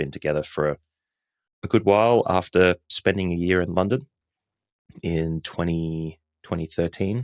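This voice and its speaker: On a very clean recording with a silent background and a dry, close sound with no echo, a man with a very deep, low pitch speaks with ordinary pitch variation and long, frequent pauses. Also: moderate pace. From Australia. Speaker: podcast editor. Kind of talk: podcast interview.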